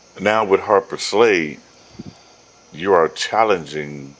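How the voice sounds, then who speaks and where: A man with ordinary pitch variation amid noticeable background noise. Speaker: talk show host. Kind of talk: interview. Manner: casual, colloquial.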